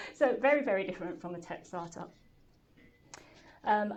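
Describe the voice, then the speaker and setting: A woman with a medium-pitched voice speaks at a moderate pace. Her pitch varies normally, and the room echo is audible. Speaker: startup founder and CEO. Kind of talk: talk to an audience. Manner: hesitant, many fillers.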